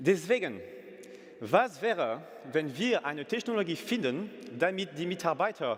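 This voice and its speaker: A man is speaking. His pitch swings very widely. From France. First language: French (speaking German). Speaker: company CEO. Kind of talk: business pitch. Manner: halting, with fillers and self-corrections.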